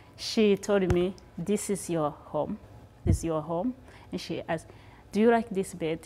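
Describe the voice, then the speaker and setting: Music plays in the background. Over it, a woman speaks with ordinary pitch variation. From Rwanda, raised in refugee camps in Tanzania and Kenya. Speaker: refugee, immigrant. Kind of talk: personal storytelling. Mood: happy, smiling toward the end. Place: home room.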